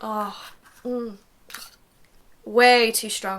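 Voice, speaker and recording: Against noticeable background noise, a woman with a British accent speaks at a fairly high pitch in a flat, monotone delivery. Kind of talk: casual talk to camera. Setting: home recording.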